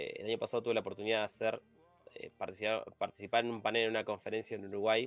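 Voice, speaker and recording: A man at a very fast pace with a Rioplatense accent, music in the background. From Argentina, Buenos Aires suburbs. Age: 30s. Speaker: software testing and automation specialist. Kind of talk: casual interview.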